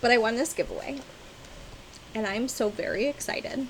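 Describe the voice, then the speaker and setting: The woman's tone is animated. Noticeable background noise runs underneath. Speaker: cross-stitch vlogger. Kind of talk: casual chat.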